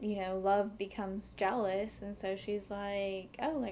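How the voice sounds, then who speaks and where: A woman with a normal speaking voice talks at a fairly slow pace and a medium pitch. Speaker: mental health therapist. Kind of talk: podcast conversation.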